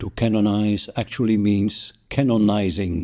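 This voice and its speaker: On a very clean recording with a silent background, a man with a Dutch accent speaks at a fairly slow pace in a dark, mellow tone. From Netherlands. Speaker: podcaster, history narrator. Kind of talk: scripted narration.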